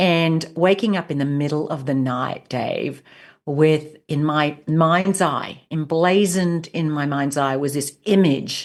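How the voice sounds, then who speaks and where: Over a quiet background, a woman with an Australian accent speaks at a very slow pace, with a very deep, low pitch and fairly even intonation. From rural Australia. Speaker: leadership coach and author. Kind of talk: interview.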